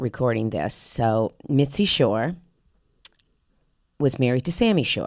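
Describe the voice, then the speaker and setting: Very deep and low, a woman's voice with an American accent swings very widely in pitch. She talks at a fairly slow pace with long, frequent pauses. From Miami, Florida. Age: 60s. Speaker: actress. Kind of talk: podcast interview. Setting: studio. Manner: halting.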